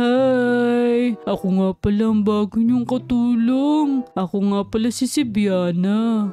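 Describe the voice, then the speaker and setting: A woman's put-on character voice, fairly high in pitch and very slow, over clear background noise. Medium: game stream. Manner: sweet, polite, eager to please.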